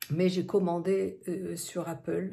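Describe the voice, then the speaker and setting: A woman talks with vocal fry at a fairly low pitch. Her tone is dark and mellow. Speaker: vlogger. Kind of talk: vlog. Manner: hesitant, many fillers; quiet.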